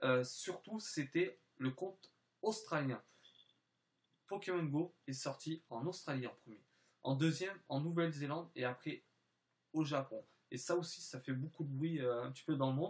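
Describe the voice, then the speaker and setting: A man's somewhat breathy, fairly high voice with ordinary pitch variation, a fairly slow pace and long, frequent pauses. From French and Spanish background, lived in southern France. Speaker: gaming YouTuber. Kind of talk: channel introduction vlog. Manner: halting, many filler hesitations.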